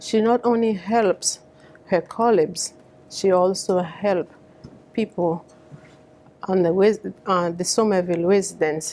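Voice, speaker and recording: Speaking at a fairly slow pace with long, frequent pauses, a woman with a Haitian accent has a medium pitch, a dark, mellow tone and fairly even intonation. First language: Haitian Creole. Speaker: community advocate. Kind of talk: public speech. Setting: fundraiser event.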